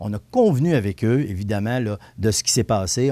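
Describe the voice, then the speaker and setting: Lively intonation and a dark, mellow tone mark this man's moderate-paced speech, captured on a very clean recording with a silent background. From Quebec, Montmagny. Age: 60s. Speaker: municipal councillor. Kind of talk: radio/TV interview. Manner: halting, frequent repetitions.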